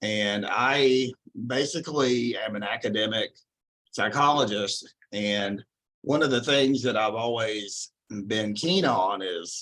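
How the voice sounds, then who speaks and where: A man's medium-pitched voice with a Texan accent, very slow in pace, with ordinary pitch variation. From Texas. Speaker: psychology professor. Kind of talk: lecture. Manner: casual with frequent fillers.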